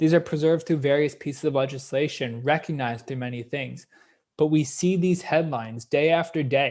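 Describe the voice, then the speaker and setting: In a Canadian accent, a man speaks fairly quickly with a fairly high pitch. His intonation stays fairly even, and the recording is very clean against a silent background. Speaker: history professor. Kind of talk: lecture. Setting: live-streamed lecture. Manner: fast.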